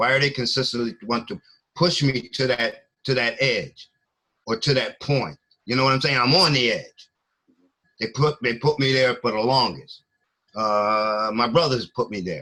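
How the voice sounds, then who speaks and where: A man's medium-pitched voice with a bright, sharp tone, a moderate pace, ordinary pitch variation and long, frequent pauses. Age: 60s. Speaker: former truck driver telling of his criminal case. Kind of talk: interview. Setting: video call. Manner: halting.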